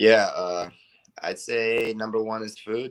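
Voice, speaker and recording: A man with an ordinary speaking voice, medium in pitch, with fairly even intonation. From USA, farm upbringing, Cuban-Panamanian parents. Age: 20s. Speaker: muay thai fighter. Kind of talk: interview. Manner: casual, relaxed.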